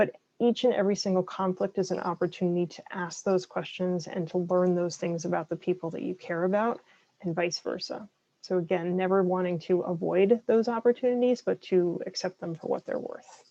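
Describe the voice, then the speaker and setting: At a fairly quick pace, a woman with a dark, mellow tone speaks at medium pitch with fairly even intonation. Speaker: licensed counselor. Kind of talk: lecture. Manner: fast.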